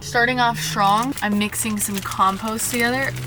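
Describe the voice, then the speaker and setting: A woman's voice, medium in pitch, comes through with music in the background. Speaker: van life vlogger. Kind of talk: casual vlog. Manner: animated.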